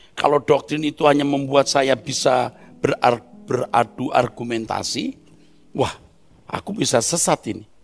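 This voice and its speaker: A man with a normal speaking voice, fairly high pitch, ordinary pitch variation, moderate pace, and a dry, close sound with no echo. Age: 60s. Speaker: preacher. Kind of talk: sermon.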